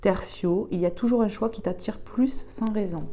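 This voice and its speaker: A soft-spoken woman talks at a medium pitch and a fairly slow pace, with some vocal fry. Her tone is dark, mellow and calm, with ordinary pitch variation. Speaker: tarot/oracle card reader. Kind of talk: oracle card reading.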